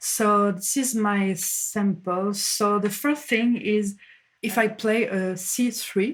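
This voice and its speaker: A woman talks at a very slow pace. Her pitch sits at a medium level. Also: fairly even intonation, very even loudness. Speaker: music production teacher. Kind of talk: tutorial. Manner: halting.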